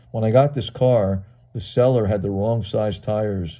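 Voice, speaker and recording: A man's fairly low voice, dark and mellow in tone, with ordinary pitch variation. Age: 60s. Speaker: toy car collector. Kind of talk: video show-and-tell. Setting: at home. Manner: enthusiastic. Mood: enthusiastic, admiring. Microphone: phone near.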